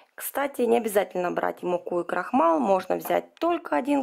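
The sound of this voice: Vocal fry colors the voice of the woman speaking.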